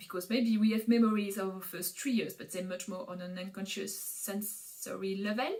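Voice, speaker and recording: A woman at a medium pitch with a non-native accent, moderate pace and hardly any pauses. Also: fairly even intonation, big swings in loudness. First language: not English. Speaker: Montessori educator, parenting vlogger. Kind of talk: educational explainer. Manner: hesitant, many filler sounds.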